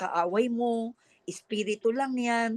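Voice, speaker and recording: Fairly even intonation comes through in a dry, close sound with no echo. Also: woman. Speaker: pastor giving life testimony. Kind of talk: testimony.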